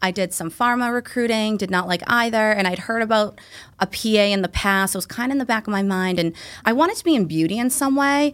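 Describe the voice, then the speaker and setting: In a very clean recording with a silent background, a woman with an American accent speaks very fast at a fairly high pitch with ordinary pitch variation. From Massachusetts South Shore. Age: 30s. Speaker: physician assistant. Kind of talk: casual interview chat.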